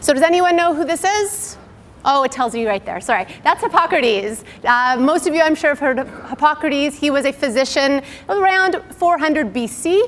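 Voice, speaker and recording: A woman speaks loudly at a high pitch and a moderate pace. Her intonation is lively, and background noise is noticeable. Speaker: naturopathic doctor. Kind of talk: lecture.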